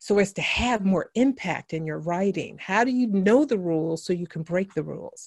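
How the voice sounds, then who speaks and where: A normal speaking voice with an American accent, lively intonation, a moderate pace and hardly any pauses. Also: woman, medium pitch for a woman. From US West Coast (San Francisco). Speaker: education author and consultant. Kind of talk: interview.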